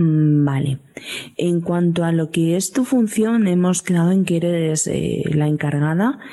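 Against noticeable background noise, a woman with a fairly low pitch speaks fairly slowly, her loudness very even and her pitch variation ordinary. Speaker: podcast host. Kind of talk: casual chat.

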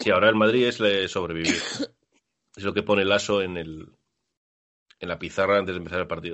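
Man at a fairly quick pace and fairly low pitch, with fairly even intonation and long, frequent pauses. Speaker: basketball podcast host. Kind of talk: casual chat.

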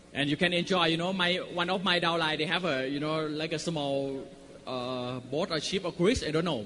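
Noticeable background noise runs through the clip. A man speaks with a fairly high pitch. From Thailand. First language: Thai (speaking Spanish). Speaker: network marketing business owner. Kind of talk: motivational talk. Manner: short phrases paused for interpreter; animated.

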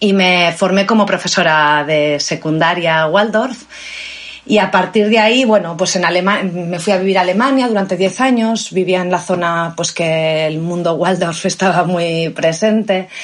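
Against noticeable background noise, a woman speaks at a fairly slow pace, her medium pitch showing ordinary variation. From Spain (Valladolid). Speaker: biologist and Waldorf teacher. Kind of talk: casual interview.

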